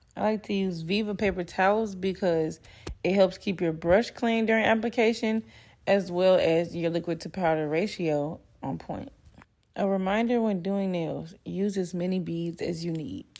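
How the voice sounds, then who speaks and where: Ordinary pitch variation runs through this woman's speech. She uses an ordinary speaking voice. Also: medium pitch for a woman, moderate pace. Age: 20s. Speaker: nail technician. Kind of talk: tutorial narration.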